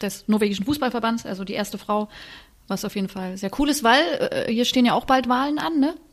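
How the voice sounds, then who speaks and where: Ordinary pitch variation and a fairly quick pace mark this clip, delivered in an ordinary speaking voice. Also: woman. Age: 30s. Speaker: podcast host. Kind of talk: casual chat.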